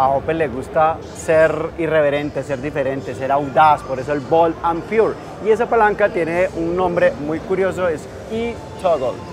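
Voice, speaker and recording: Over faint background music, a man talks at a fairly slow pace with ordinary pitch variation. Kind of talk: product presentation in an interview. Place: hall.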